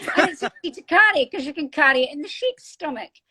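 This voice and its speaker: A woman's high-pitched, raised, projected voice at a fairly quick pace, dry and close with no echo. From northeast Scotland. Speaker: author and military veteran. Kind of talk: interview.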